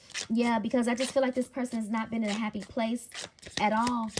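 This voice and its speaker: Noticeable background noise runs under the recording. A woman with a fairly high pitch talks at a fairly quick pace with fairly even intonation. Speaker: tarot card reader. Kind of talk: psychic reading monologue. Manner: stutters at times; stumbling over words today.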